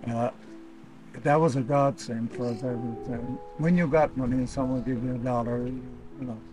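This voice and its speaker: Over clear background music, a man talks at a fairly quick pace with ordinary pitch variation in a dry sound with no echo. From Labrador, Canada. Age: 80s+. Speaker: boat builder. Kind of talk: interview answer. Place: garden.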